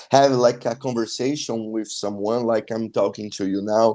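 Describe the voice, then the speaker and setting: With a Brazilian accent, a man talks at medium pitch in a dark, mellow tone. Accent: non-native English, Brazilian. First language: Portuguese. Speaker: traveler. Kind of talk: interview. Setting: live stream video call. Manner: halting, with frequent fillers.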